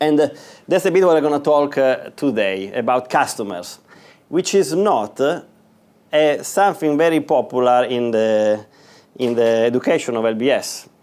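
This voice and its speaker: A medium-pitched man with an Italian accent, lively intonation, very even loudness and a moderate pace. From northern Italy. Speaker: business executive. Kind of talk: guest lecture. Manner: halting, many fillers.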